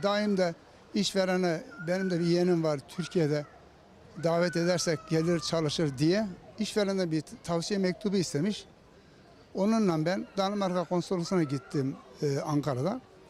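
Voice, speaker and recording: The speech runs at a moderate pace with very even loudness and ordinary pitch variation. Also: man, high pitch for a man. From Turkey, Konya. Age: 70s. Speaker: sworn translator, former municipal councillor. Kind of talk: interview answer.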